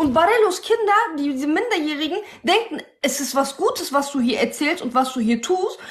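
Very wide pitch swings run through this woman's high voice. Her pace is moderate. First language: Turkish (speaking German). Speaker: live stream guest; guest. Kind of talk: heated debate. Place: home room.

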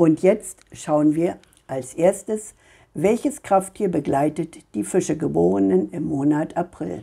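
A woman speaks very slowly in a very deep, low voice with a dark, mellow tone, vocal fry and very wide pitch swings. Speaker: tarot card reader. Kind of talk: monologue reading cards for viewers. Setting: home video recording.

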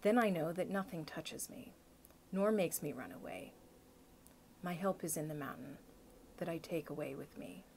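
Over light background noise, a woman with a fairly low voice and vocal fry speaks with lively intonation and long, frequent pauses. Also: big swings in loudness. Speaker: video blogger. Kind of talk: poet reading a poem aloud, unhurried and reflective, after casual chat. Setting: video blog, self-recorded. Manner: casual, conversational, halting with fillers. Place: home room. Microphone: phone near.

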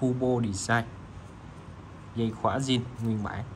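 A man is speaking. His pace is very slow. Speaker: watch seller. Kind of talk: sales pitch. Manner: informal, chatty.

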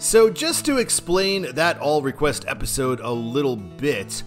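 A man talks at a fairly slow pace with faint music in the background. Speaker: travel vlogger. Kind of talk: casual vlog chat.

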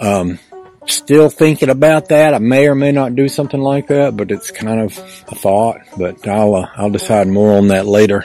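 Moderate pace from a man with ordinary pitch variation, a dry sound with no echo and faint music in the background. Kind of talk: casual vlog chat. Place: open country. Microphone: phone near.

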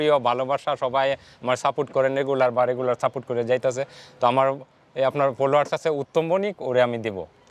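A normal speaking voice comes through with a dry, close sound and no echo. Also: man. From Bangladesh, Kishoreganj (Bajitpur). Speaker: advocate's clerk and content creator. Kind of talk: interview.

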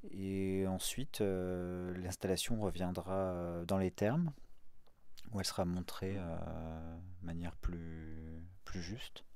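Very slowly and with long, frequent pauses, a man talks in a very deep, low pitch with a dark, mellow tone. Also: dry sound with no echo. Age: 40s. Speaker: multimedia artist; guest. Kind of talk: radio interview. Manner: hesitant, many fillers. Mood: calm, thoughtful. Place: studio.

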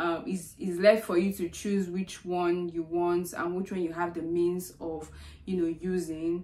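A woman's fairly low voice, dark and mellow in tone, monotone with flat intonation, at a fairly slow pace. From Nigeria. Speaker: biomedical scientist and YouTuber; YouTuber. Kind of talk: vlog explainer. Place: home room. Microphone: phone near.

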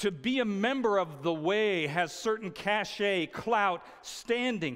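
The delivery crawls along very slowly. It all sits on a quiet background. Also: man. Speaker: preacher. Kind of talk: sermon. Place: stage.

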